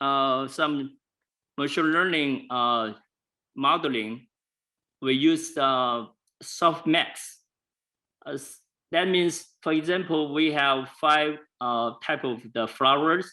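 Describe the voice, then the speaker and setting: Here a man with fairly high pitch talks at a very slow pace. He leaves long, frequent pauses. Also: ordinary pitch variation. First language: not English. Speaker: presenter. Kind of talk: lecture. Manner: halting, many fillers.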